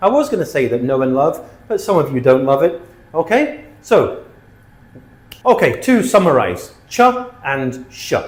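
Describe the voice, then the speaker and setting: A man with a British accent talks at a moderate pace, leaving long, frequent pauses. His pitch is high and swings very widely. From Britain. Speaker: English teacher. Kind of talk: tutorial.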